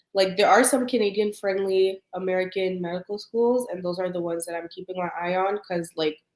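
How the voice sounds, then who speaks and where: An unremarkable speaking voice at a fairly quick pace, with fairly even intonation and hardly any pauses. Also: woman, medium pitch for a woman. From Canada. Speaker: pre-med student. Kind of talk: casual chat.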